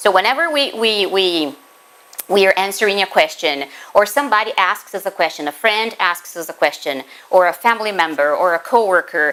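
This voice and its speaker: A woman with a Portuguese accent and a medium pitch talks at a moderate pace with lively intonation over noticeable background noise. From Brazil. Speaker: spiritist lecturer, teacher. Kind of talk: lecture.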